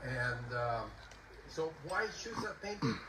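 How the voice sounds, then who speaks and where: Amid noticeable background noise and audible room echo, a man speaks with a Puerto Rican accent. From Puerto Rico. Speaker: composer and poet. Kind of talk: concert introduction talk. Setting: outdoor concert in a garden. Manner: halting.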